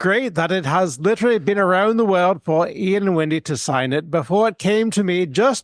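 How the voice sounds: A natural reading voice, its pitch variation ordinary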